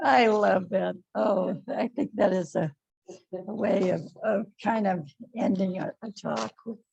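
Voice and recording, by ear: Read aloud in a natural voice, this clip has lively intonation over a quiet background.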